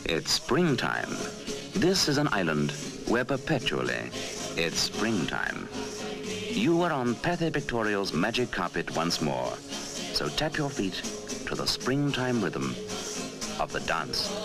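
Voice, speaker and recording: A man speaks at a very slow pace, with long, frequent pauses and very even loudness. Music plays in the background. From British. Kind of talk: documentary narration. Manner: patronizing.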